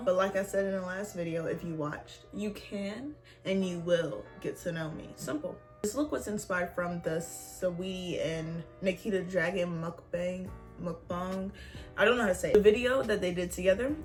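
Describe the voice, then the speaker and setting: A woman talks at a medium pitch. Faint music plays in the background. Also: ordinary pitch variation, moderate pace. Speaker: beauty vlogger. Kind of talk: makeup tutorial talk to camera. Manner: casual. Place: home room. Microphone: phone near.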